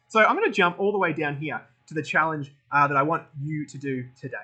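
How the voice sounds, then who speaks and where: A man with an Australian accent talks at a very fast pace and fairly high pitch with ordinary pitch variation. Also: big swings in loudness. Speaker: tech school educator. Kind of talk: tutorial. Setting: recorded at workstation with laptop and phone.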